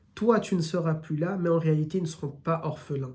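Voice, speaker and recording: With a slight southern French accent, a man at high pitch speaks at a moderate pace amid audible room echo. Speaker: Islamic religious teacher. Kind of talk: religious lecture, live stream. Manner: hesitant, many fillers.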